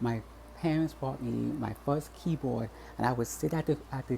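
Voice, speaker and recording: At a moderate pace, a man speaks with a US Virgin Islands accent. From US Virgin Islands, Saint Thomas. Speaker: vlogger. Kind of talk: personal vlog. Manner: halting, many repetitions and false starts.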